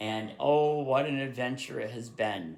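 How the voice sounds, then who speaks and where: A man with a Vermont accent speaks at a fairly slow pace and medium pitch, with ordinary pitch variation. Audible room echo surrounds his voice. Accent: Vermont accent, adds r to word ends. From rural Vermont, US. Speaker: YouTuber, history writer. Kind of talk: casual chat. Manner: halting, many fillers.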